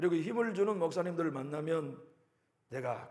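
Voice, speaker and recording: There is audible room echo. A man talks at a fairly slow pace. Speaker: pastor. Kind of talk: sermon.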